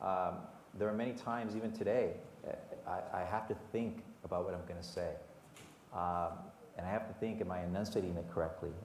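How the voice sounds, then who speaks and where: With a Spanish accent, a man talks at a fairly quick pace, leaving long, frequent pauses amid audible room echo. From Southern California, Whittier, Mexican-American family. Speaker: HR executive at sports team. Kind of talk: panel interview. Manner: hesitant, many repetitions and fillers.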